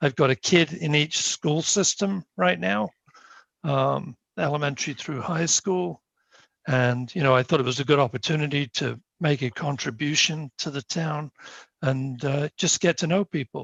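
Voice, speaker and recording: With a British accent, a man speaks at a fairly high pitch and moderate pace with ordinary pitch variation, in a dry, close sound with no echo and a quiet background. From UK. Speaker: planning board member, engineer. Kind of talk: self-introduction at a town board meeting. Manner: halting, many fillers.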